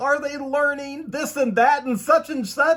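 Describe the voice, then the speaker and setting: A man's put-on character voice, extremely high in pitch, mumbling at a fairly slow pace amid clear background noise. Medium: read story. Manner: mumbling, mournful.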